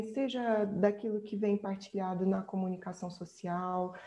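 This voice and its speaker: Her tone dark and mellow, a woman speaks at a fairly slow pace with fairly even intonation. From central Brazil. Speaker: researcher and speaker on migration. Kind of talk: workshop presentation, answering questions.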